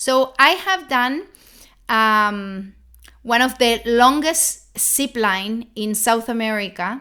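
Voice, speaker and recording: Speaking at a very slow pace with a non-native accent, a woman uses lively intonation and a fairly high pitch in a bright, sharp tone, captured in a very clean recording with a silent background. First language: not English. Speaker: holistic health coach. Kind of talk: live motivational talk. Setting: livestream. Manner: halting, repeats words.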